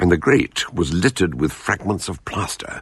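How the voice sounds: A man does a put-on character voice, low in pitch with a fairly bright tone and a slightly husky edge. His intonation is lively and his pace moderate.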